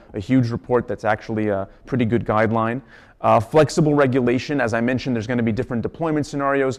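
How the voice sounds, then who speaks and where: A very fast delivery with fairly even intonation. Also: man. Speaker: law student presenter. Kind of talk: lecture.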